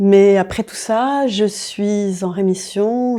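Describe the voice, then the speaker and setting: Speaking very slowly, a woman uses a medium pitch and a dark, mellow tone. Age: 70s. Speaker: retiree, breast cancer survivor. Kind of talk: testimony.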